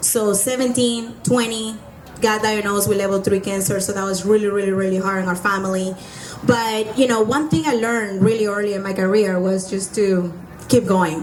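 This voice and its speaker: Speaking in a Spanish accent, a woman keeps a medium pitch and fairly even intonation. Noticeable background noise and audible room echo are present. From Venezuela. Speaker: entrepreneur. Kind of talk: testimony.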